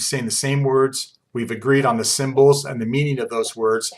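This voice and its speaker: Fairly level intonation shapes an unremarkable speaking voice, captured in a very clean recording against a silent background. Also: man. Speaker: college instructor. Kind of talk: lecture.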